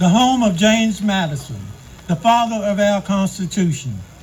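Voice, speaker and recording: Against noticeable background noise, a man with an American accent talks at a high pitch with ordinary pitch variation. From US South. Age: 70s. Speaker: community speaker, Air Force veteran. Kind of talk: public speech. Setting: outdoors event with audience. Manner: formal.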